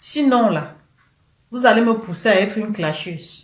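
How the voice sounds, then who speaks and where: Somewhat breathy and fairly high pitched, a woman speaks in a Cameroonian accent with ordinary pitch variation. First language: Cameroonian local language (speaking French). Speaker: political commentator. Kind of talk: live stream rant. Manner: animated.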